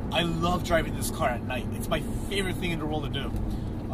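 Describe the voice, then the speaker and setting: Over loud background noise, a man is speaking. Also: dry sound with no echo. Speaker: car owner reviewer. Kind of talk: casual car review commentary. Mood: enthusiastic, relaxed. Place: car. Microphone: phone near.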